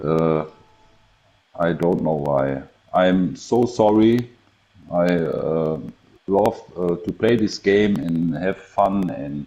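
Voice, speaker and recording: With a German accent, a man speaks at a very slow pace in a very deep, low voice, leaving long, frequent pauses and using ordinary pitch variation. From Germany. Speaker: gamer. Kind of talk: casual interview. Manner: halting.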